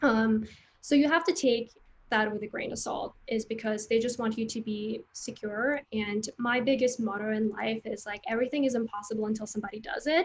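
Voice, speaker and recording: A fairly high, somewhat breathy female voice with ordinary pitch variation, at a fairly quick pace. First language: Vietnamese. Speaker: creative recruiter and career coach. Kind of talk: interview.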